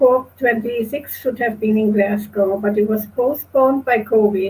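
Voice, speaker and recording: Somewhat breathy, a woman speaks in a fairly high pitch with monotone, flat intonation. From Germany, Kassel. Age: 70s. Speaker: climate activist cyclist. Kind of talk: presentation.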